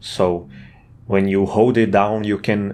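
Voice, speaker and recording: This man speaks with a non-native accent. His pace is fairly slow. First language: not English. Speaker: indie game developer. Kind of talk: casual devlog narration. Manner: halting, with fillers and restarts.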